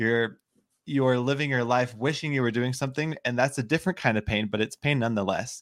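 A man's normal speaking voice at medium pitch, fairly quick in pace, with ordinary pitch variation, very even loudness, and a dry, close sound with no echo. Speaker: online entrepreneur, digital nomad. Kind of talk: interview.

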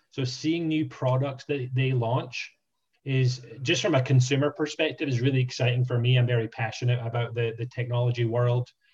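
A man talks at a moderate pace and medium pitch with fairly even intonation. His voice is somewhat breathy. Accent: Scottish. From Scotland. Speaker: franchise sales specialist. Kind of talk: interview.

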